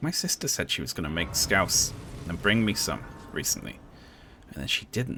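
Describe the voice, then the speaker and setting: A man with a slight Liverpool accent speaks at a moderate pace in a fairly low, bright, sharp voice with vocal fry. His pitch swings very widely, broken by long, frequent pauses. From Liverpool, England. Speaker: streamer. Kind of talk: live stream chat while gaming. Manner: casual, chatty.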